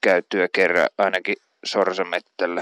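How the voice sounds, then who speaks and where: A man speaks at a fairly slow pace. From Central Finland (Uurainen, near Jyväskylä). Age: 30s. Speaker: aspiring politician. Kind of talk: personal monologue. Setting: outdoors in yard. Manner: halting, many fillers.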